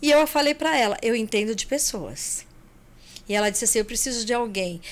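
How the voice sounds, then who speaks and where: A woman's fairly high voice, ordinary in pitch variation, at a moderate pace. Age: 60s. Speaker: accountant and travel agency owner. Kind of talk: podcast interview.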